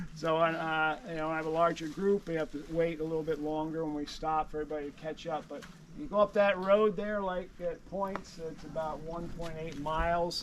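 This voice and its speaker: A man with an American accent, fairly high in pitch, with fairly even intonation, a moderate pace and big swings in loudness. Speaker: tour guide. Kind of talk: guided walking tour talk. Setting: outdoors. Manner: halting, many fillers.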